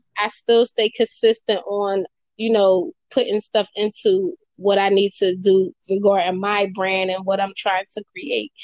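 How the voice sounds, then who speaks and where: Here is an ordinary speaking voice: a woman with an American accent, medium in pitch and fairly even in intonation. She talks at a fairly slow pace, and the sound is dry and close with no echo. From Philadelphia, Pennsylvania. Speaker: poet and writer. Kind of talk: interview.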